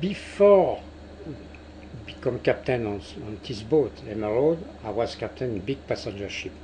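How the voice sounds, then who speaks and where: Pausing long and often, a man with a French accent speaks at a moderate pace and a medium pitch, with very wide pitch swings and big swings in loudness. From France. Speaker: cruise ship captain. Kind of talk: interview. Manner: halting.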